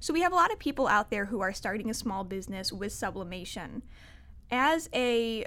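A woman with an ordinary speaking voice talks at a fairly high pitch with lively intonation. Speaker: podcast host. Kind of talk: casual interview.

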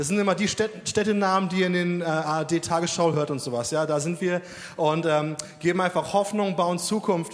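Against noticeable background noise, a man talks at a moderate pace with a high pitch. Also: fairly even intonation. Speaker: Sunday school worker. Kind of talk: testimony. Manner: casual.

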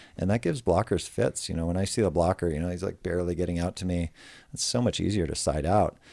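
Mumbling at a very fast pace, a speaker with an American accent uses a dark, mellow tone and ordinary pitch variation in a very clean recording with a silent background. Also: man, very deep, low pitch for a man. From United States. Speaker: professional beach volleyball player. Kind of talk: casual interview chat. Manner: low talker, mumbles.

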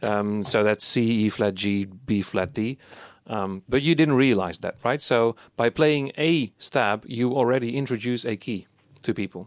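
Speaking with a Dutch accent at a fairly slow pace, a man with a medium pitch and ordinary pitch variation is heard in a very clean recording with a silent background and a dry, close sound with no echo. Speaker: podcast co-host, chiptune musician. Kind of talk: casual chat.

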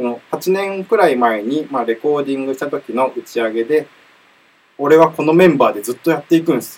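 Fairly high pitch from a man, with ordinary pitch variation and a fairly quick pace. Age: 20s. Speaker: rock band member and podcast host. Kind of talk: casual chat. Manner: animated.

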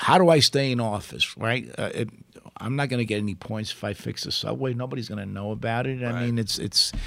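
Speaking very fast with a New York accent, a man uses a medium pitch with ordinary pitch variation. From Italy, raised in Brooklyn. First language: Italian. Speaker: former politician, attorney. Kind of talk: casual chat. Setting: studio.

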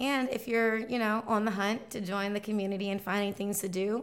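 A woman speaks at a moderate pace with medium pitch. Hers is an ordinary speaking voice. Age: 20s. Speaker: local lifestyle content creator. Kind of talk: casual interview.

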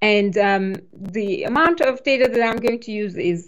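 Lively intonation marks this speaker's non-native accent. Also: woman. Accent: foreign. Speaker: cloud developer advocate. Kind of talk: technical interview explanation.

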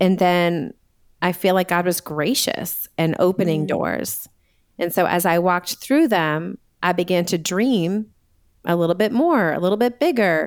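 A woman with an American accent has a plain, everyday voice at a medium pitch, with ordinary pitch variation. She speaks at a fairly slow pace in a very clean recording with a silent background. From US Northeast (Massachusetts). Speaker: Enneagram coach and author. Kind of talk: casual interview chat.

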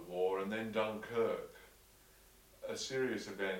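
A fairly low-pitched man with an Australian accent, over noticeable background noise. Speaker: interviewer. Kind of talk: interview questions.

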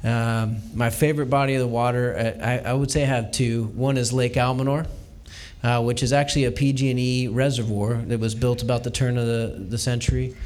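A man with an American accent speaks at a medium pitch and a moderate pace. His intonation is monotone and flat, with audible room echo. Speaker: state legislator. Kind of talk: panel discussion before live audience. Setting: basement bar venue with live audience.

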